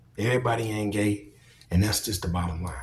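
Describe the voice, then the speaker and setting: A man speaks with a fairly low pitch and ordinary pitch variation. Music plays in the background. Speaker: video commentator. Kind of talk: monologue commentary. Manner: animated.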